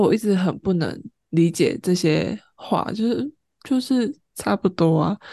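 Against a quiet background, a woman with a dark, mellow tone talks at a fairly slow pace, her pitch swinging very widely. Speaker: podcast co-host. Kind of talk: casual chat.

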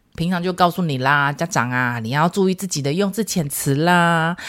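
In an animated tone, a woman talks fairly quickly with ordinary pitch variation. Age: 40s. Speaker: parenting podcast host, mother of twins. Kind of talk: casual solo podcast monologue. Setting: recording studio.

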